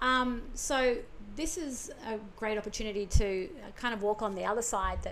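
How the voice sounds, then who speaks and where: A woman with an Australian accent, fairly high in pitch, at a moderate pace with ordinary pitch variation. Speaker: podcast host. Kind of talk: casual conversation.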